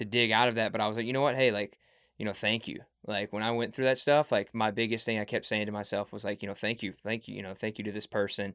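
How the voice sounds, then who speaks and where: Very fast and flat, a man speaks in a monotone at a medium pitch. The sound is dry and close, without echo. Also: quiet background. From Mississippi. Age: 20s. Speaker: podcast host. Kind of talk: casual chat.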